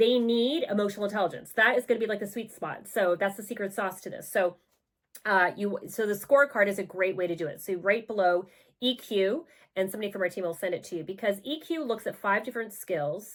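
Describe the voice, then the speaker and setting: A woman speaks in an animated tone at a fairly quick pace, with ordinary pitch variation. The recording is very clean, with a silent background. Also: medium pitch for a woman. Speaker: parenting and leadership coach. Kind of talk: video talk to camera. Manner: fast.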